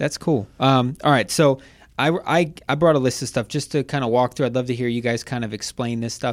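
A man's plain, everyday voice at medium pitch with an American accent, at a fairly quick pace, in a very clean recording with a silent background. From Ohio. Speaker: podcast host. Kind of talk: casual interview chat.

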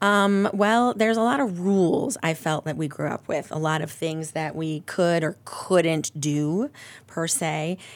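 A woman talks at a fairly slow pace in a fairly low voice. It is an ordinary speaking voice. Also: ordinary pitch variation. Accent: American. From Ohio, Akron area. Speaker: church member sharing faith story. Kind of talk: testimony.

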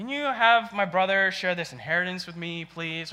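A man puts on a whiny character voice, pitched high. He talks at a moderate pace. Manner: whiny, pleading.

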